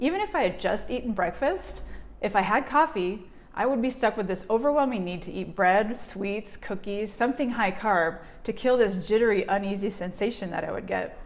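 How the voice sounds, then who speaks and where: A woman with an ordinary speaking voice talks at a moderate pace, her pitch fairly high and its variation ordinary. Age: 40s. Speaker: energy healer and vlogger. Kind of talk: personal vlog testimony.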